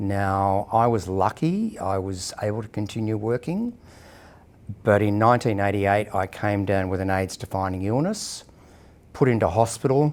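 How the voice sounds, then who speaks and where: With an Australian accent, a man talks at a fairly low pitch with ordinary pitch variation. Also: moderate pace. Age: 60s. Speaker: person living with HIV sharing experience. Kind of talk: personal testimony interview. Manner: hesitant, with frequent fillers.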